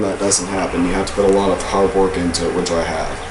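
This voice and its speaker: There is audible room echo and noticeable background noise. A man with an American accent speaks in a flat monotone. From Texas. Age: 30s. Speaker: video blogger. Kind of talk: personal vlog. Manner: casual, with hesitations.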